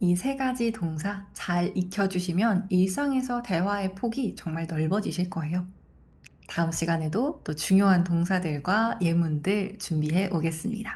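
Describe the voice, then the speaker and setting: Somewhat breathy, a woman's voice sits at a medium pitch with ordinary pitch variation. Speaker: French language teacher. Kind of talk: tutorial.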